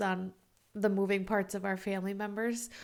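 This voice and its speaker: The recording is very clean and the background is silent. A woman's voice is heard. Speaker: podcast host. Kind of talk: casual solo podcast talk. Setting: home recording. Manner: fast; animated.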